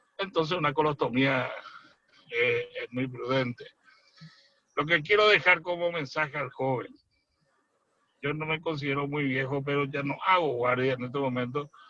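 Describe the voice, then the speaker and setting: A man's fairly high voice at a moderate pace, broken by long, frequent pauses. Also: ordinary pitch variation. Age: 60s. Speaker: surgeon. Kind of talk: expert panel commentary. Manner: detailed, explanatory.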